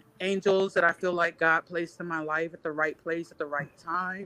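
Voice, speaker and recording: With a bright, sharp tone, a woman speaks in a fairly low pitch and monotone, flat intonation. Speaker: vocational rehabilitation counselor. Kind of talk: casual chat.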